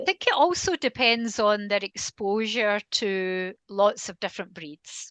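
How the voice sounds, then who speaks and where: A woman with a Scottish accent speaks at a fairly slow pace with hardly any pauses, her medium pitch showing ordinary variation and big swings in loudness, in a dry, close recording with no echo and a quiet background. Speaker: canine behaviourist. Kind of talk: interview conversation.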